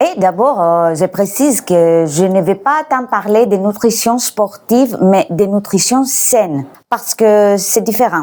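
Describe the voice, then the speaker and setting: Speaking with a Greek accent at a fairly slow pace, a woman has a medium-pitched, dark, mellow tone and lively intonation. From Greece. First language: Greek (speaking French). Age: 40s. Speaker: YouTuber and language tutor. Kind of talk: casual vlog talk on nutrition. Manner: hesitant with frequent fillers.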